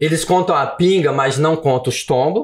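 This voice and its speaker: The speaker is a man. His delivery moves at a moderate pace. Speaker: author and former teacher. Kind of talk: podcast interview. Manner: animated.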